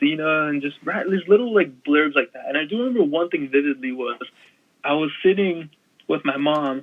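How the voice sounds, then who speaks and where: With ordinary pitch variation, the talking keeps a moderate pace. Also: man. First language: Punjabi. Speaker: wrestling media creator. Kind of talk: casual chat.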